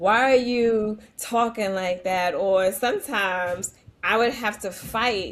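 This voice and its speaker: A woman with a New York accent speaks at a very slow pace on a very clean recording with a silent background. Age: 40s. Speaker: educator. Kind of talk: podcast interview.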